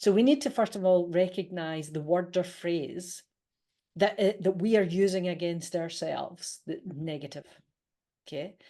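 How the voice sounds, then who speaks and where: A woman with a Scottish accent speaks at a moderate pace in a fairly low, dark, mellow voice against a quiet background. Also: ordinary pitch variation. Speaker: leadership coach and author. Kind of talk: interview.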